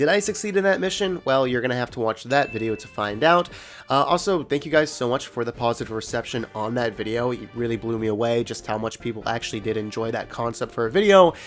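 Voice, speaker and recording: Music plays in the background as a man speaks at medium pitch and a very fast pace, with lively intonation and hardly any pauses. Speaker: gaming video creator. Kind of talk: casual gaming commentary.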